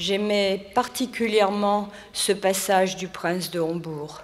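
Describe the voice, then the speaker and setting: A woman speaks at a very slow pace and a medium pitch, with fairly even intonation. Noticeable background noise and audible room echo surround her voice. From France, near Vichy. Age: 70s. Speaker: retired French teacher. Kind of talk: personal statement on stage.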